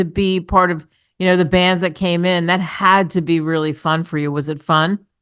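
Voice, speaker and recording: Against a quiet background, a woman with an ordinary speaking voice and fairly low pitch speaks at a moderate pace. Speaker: radio talk show host. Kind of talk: radio interview host. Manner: upbeat.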